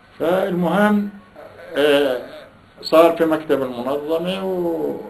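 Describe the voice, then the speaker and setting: A voice in a Palestinian accent over light background noise. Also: man. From Salama, Jaffa, Palestine. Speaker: Nakba survivor, oral history interviewee. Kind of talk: interview answer. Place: home room. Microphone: camera far.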